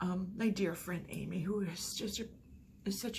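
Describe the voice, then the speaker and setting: There is audible room echo around this woman's voice. Noticeable background noise is also present. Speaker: vlogger. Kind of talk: personal vlog.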